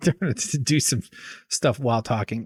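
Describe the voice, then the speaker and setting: At a moderate pace, a somewhat breathy voice comes through a very clean recording with a silent background, dry and close with no echo. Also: man. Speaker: streamer. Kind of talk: casual chat. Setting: live stream. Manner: halting.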